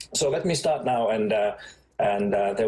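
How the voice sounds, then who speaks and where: Moderate-paced speech from a man with a Finnish accent, with audible room echo. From Finland. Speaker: education expert. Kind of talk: conference talk. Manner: halting, many fillers.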